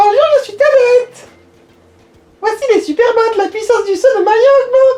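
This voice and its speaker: An extremely high-pitched put-on character voice at a moderate pace. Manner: silly, airheaded.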